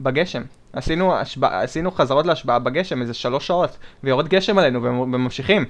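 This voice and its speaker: In a normal speaking voice, a man talks at a fairly quick pace, his pitch fairly high with ordinary variation. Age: 20s. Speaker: podcast co-host. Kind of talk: casual chat.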